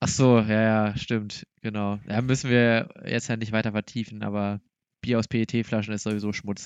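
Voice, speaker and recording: A man's fairly low voice, flat and monotone, at a moderate pace, in a dry, close sound with no echo. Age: 20s. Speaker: podcast co-host, former flatmate. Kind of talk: casual chat.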